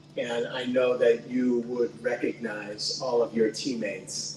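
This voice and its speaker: A man talks fairly slowly while noticeable background noise carries on behind him. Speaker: nonprofit president and CEO. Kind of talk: speech at awards reception. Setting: event hall with audience. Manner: loud; halting, many fillers.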